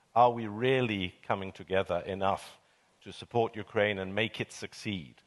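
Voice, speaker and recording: A man with a British accent and a fairly low pitch, at a moderate pace with ordinary pitch variation. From Britain. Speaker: panelist, commentator on European affairs. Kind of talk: panel discussion. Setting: stage with audience. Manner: measured, hesitant.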